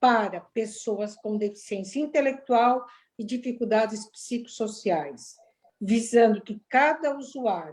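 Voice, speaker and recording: Very slow in pace, a woman speaks in a dark, mellow tone with a fairly high pitch. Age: 70s. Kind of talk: webinar presentation.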